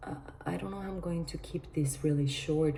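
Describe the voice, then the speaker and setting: A woman talks quietly at a moderate pace. Audible room echo and noticeable background noise surround her voice. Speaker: vlogger. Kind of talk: casual monologue vlog. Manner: speaking quietly; halting.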